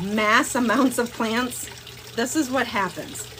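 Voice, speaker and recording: A high-pitched woman with an American accent, over noticeable background noise. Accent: Wisconsin at times. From northeast Wisconsin. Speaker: plant shop owner. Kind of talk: live stream tutorial. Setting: greenhouse. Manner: casual, chatty.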